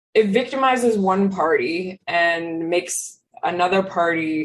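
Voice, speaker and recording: Music plays in the background as a woman speaks in a fairly low pitch with ordinary pitch variation. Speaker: podcast co-host. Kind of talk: casual chat.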